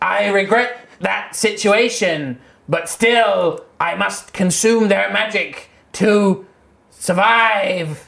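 This put-on character voice is raspy and fairly high in pitch. It drags along at a very slow pace. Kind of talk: comic fantasy roleplay. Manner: dramatic, mournful, apologetic.

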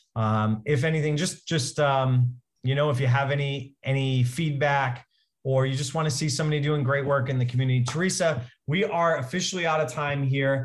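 Somewhat breathy and fairly high-pitched, a man talks at a fairly quick pace with fairly even intonation. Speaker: podcast host. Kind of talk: interview.

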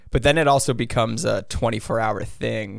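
A man with vocal fry, fairly even intonation and a fairly quick pace. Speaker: brand founder and former online prankster. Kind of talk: casual interview chat. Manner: casual, filler-heavy.

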